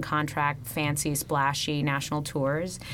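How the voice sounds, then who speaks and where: Over noticeable background noise, a woman with an American accent speaks in a very deep, low voice. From California, Fresno. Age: 30s. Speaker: stage actress. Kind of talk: interview. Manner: animated.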